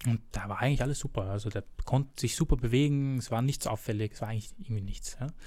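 A man's dark, mellow, somewhat breathy voice, very fast with ordinary pitch variation, on a very clean recording with a silent background. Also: medium pitch for a man. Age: 20s. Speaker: physiotherapist and personal trainer. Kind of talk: expert interview.

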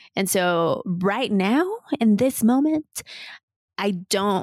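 A woman with a medium-pitched voice speaks very slowly with lively intonation, recorded dry and close with no echo on a very clean track with a silent background. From Mexico. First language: Spanish. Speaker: podcast host and wellness coach. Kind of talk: casual interview.

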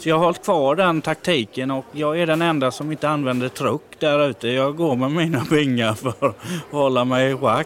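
Over noticeable background noise, a fairly high-pitched man talks at a moderate pace. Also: ordinary pitch variation. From Halland, Sweden. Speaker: warehouse worker. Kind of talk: casual chat. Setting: inside a large store.

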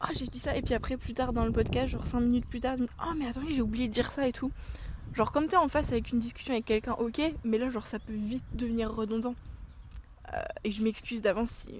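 Very fast talking comes through with ordinary pitch variation. There's noticeable background noise as well. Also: woman. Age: 20s. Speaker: podcast host. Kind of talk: casual chat. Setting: outdoors.

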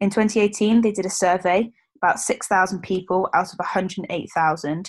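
Against a quiet background, a woman with a medium-pitched voice speaks with a British accent. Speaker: podcast co-host, rugby player. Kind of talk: casual chat.

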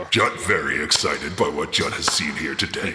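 A raspy, put-on character voice from a man. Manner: gleeful, theatrical, villainous, broken speech.

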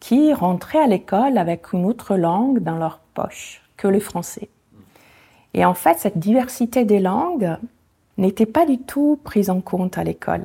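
A woman speaks in an Italian accent at a medium pitch and a fairly slow pace. Her voice is dark, mellow and somewhat breathy, with lively intonation. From Italy, near Venice. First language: Italian (speaking French). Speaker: association founder. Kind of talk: interview.

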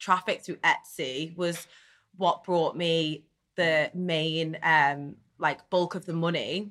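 A woman with a strong Liverpool accent speaks at a fairly slow pace in a fairly low pitch with a bright, sharp tone. Her intonation is fairly even, and the recording is very clean with a silent background. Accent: strong Liverpool (Scouse). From Netherlands, raised in Liverpool. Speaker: reality TV contestant and business owner. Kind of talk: casual interview. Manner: chatty, frequent fillers.

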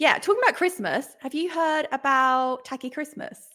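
A woman with an English accent talks in a raised, projected voice. Her pace is fairly slow and her intonation lively. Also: very clean recording, silent background. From England, London area. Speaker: podcast co-host, mum. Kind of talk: casual chat.

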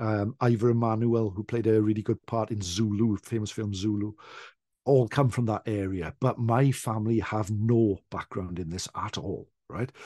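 With a South Welsh accent, a man speaks at a moderate pace in a dark, mellow tone with a fairly low pitch and fairly even intonation, in a dry, close recording with no echo and a quiet background. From South Wales. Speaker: traditional storyteller. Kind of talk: casual chat. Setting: video call.

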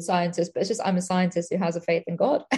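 In an English accent, a woman talks in a medium pitch with a somewhat breathy voice. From England. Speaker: scientist. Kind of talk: casual interview.

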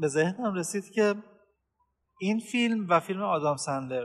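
A man talks at a fairly quick pace. His pitch is high and swings very widely. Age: 20s. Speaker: podcast host. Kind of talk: casual chat.

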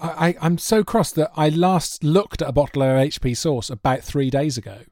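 A man with a fairly high pitch speaks at a moderate pace with ordinary pitch variation. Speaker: quiz contestant. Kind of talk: quiz show banter. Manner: calm.

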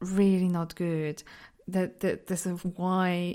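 This woman speaks at a fairly low pitch. Her intonation is monotone and flat. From southeastern Poland, near Ukrainian and Slovak borders. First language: Polish. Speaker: podcaster. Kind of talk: personal reflective monologue. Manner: laughs often.

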